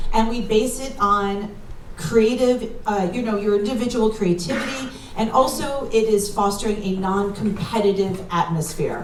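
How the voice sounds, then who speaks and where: Over noticeable background noise and audible room echo, the voice keeps a moderate pace with ordinary pitch variation. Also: woman, fairly high pitch for a woman. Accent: New York. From New York, New Rochelle. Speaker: comedian and workshop leader. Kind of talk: stand-up. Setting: stage with audience.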